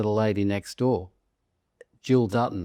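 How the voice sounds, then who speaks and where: On a very clean, dry, close recording with no echo and a silent background, a man with an Australian accent speaks fairly slowly in a dark, mellow tone. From Australia, Sydney Northern Beaches. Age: 70s. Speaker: real estate agency founder. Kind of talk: interview.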